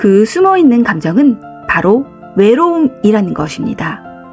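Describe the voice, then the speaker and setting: Over music in the background, a woman speaks at a fairly slow pace in a calm, soothing tone with very wide pitch swings. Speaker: psychological counselor. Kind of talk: counseling talk narration.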